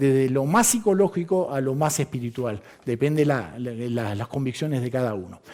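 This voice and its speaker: This man's intonation is lively. Noticeable background noise sits behind him. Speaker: astrologer. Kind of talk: lecture. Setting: conference hall with audience. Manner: fast.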